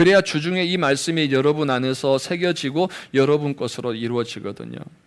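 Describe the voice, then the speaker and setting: Pitch varies in an ordinary way as the speaker moves along fairly quickly. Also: man, fairly high pitch for a man. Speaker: pastor. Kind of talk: sermon. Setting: church. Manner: occasional pronunciation slips.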